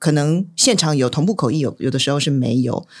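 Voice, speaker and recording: A woman with a Taiwanese accent, very deep and low in pitch, at a fairly quick pace, in a very clean recording with a silent background. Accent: Taiwanese Mandarin. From Taiwan, Taipei. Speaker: event host and interpreter. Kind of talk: casual chat.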